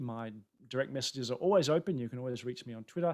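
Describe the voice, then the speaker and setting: This man has an Australian accent and lively intonation. He talks at a very fast pace. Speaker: tech conference speaker. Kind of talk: webinar presentation. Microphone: new camera setup, air conditioning off for sound.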